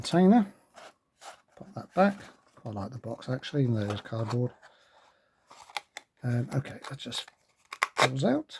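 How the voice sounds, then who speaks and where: Soft-spoken and at a moderate pace, a man speaks with a medium pitch and lively intonation. His loudness swings widely, and he leaves long, frequent pauses. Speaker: watch reviewer. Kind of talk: product review with unboxing. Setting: indoors at night, home recording. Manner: quiet, talking softly.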